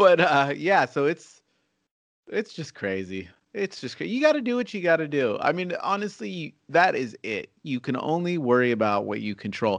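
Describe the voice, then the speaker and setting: Very wide pitch swings run through a man's fairly high voice at a moderate pace. The sound is dry and close with no echo, over a quiet background. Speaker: podcast host. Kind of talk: casual chat. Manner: laughing, playful.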